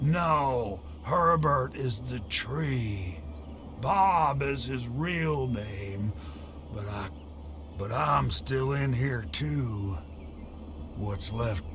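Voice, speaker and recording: A man's put-on character voice at medium pitch, very slow with long, frequent pauses, over loud background noise. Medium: video game. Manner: rambling, wry.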